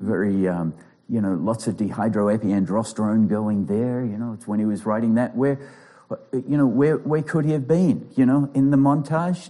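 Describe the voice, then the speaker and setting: In an Australian accent, a man speaks at a moderate pace with lively intonation and a dark, mellow tone. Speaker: pastor and clinical psychologist. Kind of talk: sermon.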